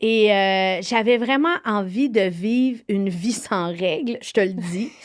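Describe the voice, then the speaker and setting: A woman with a Quebec accent speaks at a very slow pace. Her pitch is medium, with ordinary variation. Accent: Québécois French. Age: 40s. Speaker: TV host, author and actress. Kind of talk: interview. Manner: halting.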